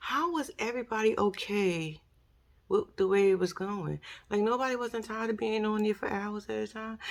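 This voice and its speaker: A woman speaks in a New York accent with an animated tone. Her pitch is fairly high, with ordinary variation. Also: moderate pace. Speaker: YouTuber commentator. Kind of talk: casual commentary monologue.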